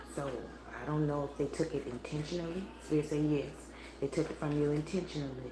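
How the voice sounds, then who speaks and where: Quiet and very fast, a woman speaks at a very deep, low pitch in a monotone, flat delivery, broken by long, frequent pauses, with audible room echo around her. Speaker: spiritual tarot reader. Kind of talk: live tarot reading stream. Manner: low, quiet voice; casual, meandering.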